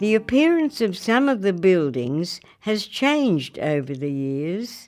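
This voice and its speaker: Speaking at a fairly slow pace, the woman moves through very wide pitch swings. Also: medium pitch for a woman. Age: 80s+. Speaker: actress, former drama teacher. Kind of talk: documentary narration. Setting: studio.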